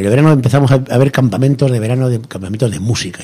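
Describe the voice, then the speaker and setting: Noticeable background noise fills the clip. Through it, a man speaks at a very fast pace. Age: 60s. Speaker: cigar box guitar builder. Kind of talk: radio interview.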